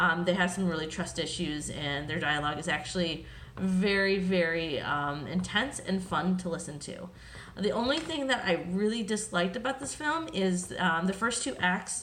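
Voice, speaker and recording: There is audible room echo around a woman's voice. She speaks at a medium pitch with lively intonation. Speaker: film reviewer. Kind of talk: casual review monologue. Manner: fast; many fillers, um and uh.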